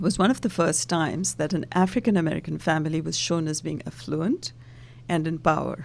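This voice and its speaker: Vocal fry runs through fairly quick speech with ordinary pitch variation. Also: woman, very deep, low pitch for a woman. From India. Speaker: diversity and inclusion consultant and author. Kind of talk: interview. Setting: studio.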